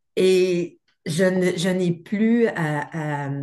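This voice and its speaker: This woman speaks at a medium pitch. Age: 60s. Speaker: therapy client. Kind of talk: testimony. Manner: halting.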